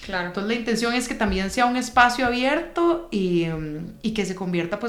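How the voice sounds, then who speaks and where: A woman speaks fairly quickly at a fairly high pitch with lively intonation, amid noticeable background noise and audible room echo. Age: 30s. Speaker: podcast co-host, consultant. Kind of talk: casual chat.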